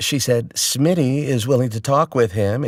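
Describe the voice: The text is read aloud plainly. Its pitch shows ordinary variation.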